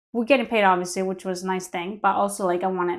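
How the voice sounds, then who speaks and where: With a Greek accent, a woman speaks at medium pitch on a very clean recording with a silent background. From Greece. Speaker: line cook. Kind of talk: casual chat.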